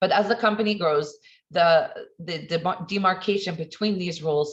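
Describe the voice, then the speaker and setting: Ordinary pitch variation shapes a somewhat breathy voice. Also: woman. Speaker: accountant / financial consultant. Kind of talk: webinar presentation. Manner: fast.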